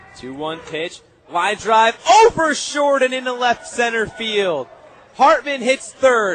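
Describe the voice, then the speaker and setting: Very slow speech with lively intonation and big swings in loudness, set against noticeable background noise. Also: man, extremely high pitch for a man. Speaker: radio play-by-play announcer. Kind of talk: live play-by-play call of a game.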